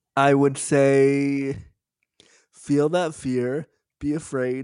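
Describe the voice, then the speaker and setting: A man with a Canadian accent speaks in a normal speaking voice at a fairly high pitch. His intonation is fairly even, and the background is quiet. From Canada. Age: 30s. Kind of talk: interview.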